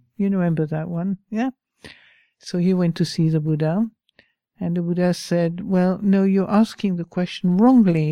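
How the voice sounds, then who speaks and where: In a French accent, a woman speaks at a moderate pace in a fairly low voice with fairly even intonation, the sound dry and close with no echo. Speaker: Buddhist teacher. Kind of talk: dharma talk with reading aloud from a book. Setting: talk to a live group in a room. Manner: informal, hesitant with fillers.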